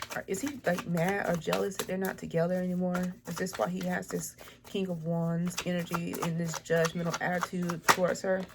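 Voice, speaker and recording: Over noticeable background noise, a woman with a fairly low pitch speaks in fairly even intonation, hardly pausing at all. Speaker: tarot reader. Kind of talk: tarot reading. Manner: fast.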